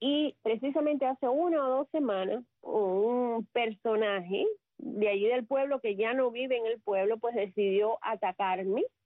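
A woman's fairly slow delivery with very even loudness and ordinary pitch variation. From Cuba, Sagua la Grande. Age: 50s. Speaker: communicator and public relations professional. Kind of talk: radio interview. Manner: talkative.

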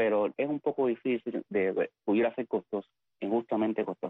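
A man with a medium-pitched voice talks fairly quickly, his intonation fairly even. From Cuba, Pinar del Río. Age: 50s. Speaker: poet and writer. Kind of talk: interview. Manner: halting.

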